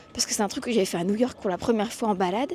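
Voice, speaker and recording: A woman speaks with lively intonation. Noticeable background noise runs beneath her. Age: 20s. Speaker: podcaster and vlogger. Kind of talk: casual walking vlog monologue. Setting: outdoors walking in city streets. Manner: casual with many hesitations.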